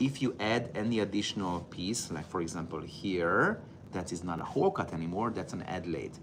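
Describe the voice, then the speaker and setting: A man with a fairly low pitch. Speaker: footwear professor. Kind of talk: tutorial.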